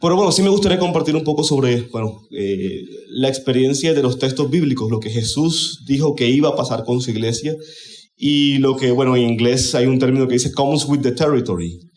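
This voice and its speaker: A man at medium pitch and moderate pace, ordinary pitch variation, with audible room echo and noticeable background noise. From Colombia, Caribbean region. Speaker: conference speaker. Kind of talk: conference talk.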